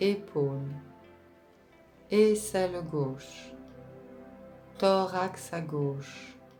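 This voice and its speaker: A woman speaks very slowly in a calm, soothing tone at a fairly low pitch, leaving long, frequent pauses. Music plays in the background. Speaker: relaxation and meditation guide. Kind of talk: guided relaxation / yoga nidra session. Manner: slow, calm, soothing.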